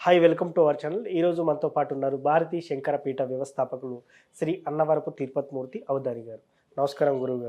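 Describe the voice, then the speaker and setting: A man with a fairly high pitch and an unremarkable speaking voice, with big swings in loudness. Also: fairly even intonation. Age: 30s. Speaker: channel interviewer. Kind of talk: interview.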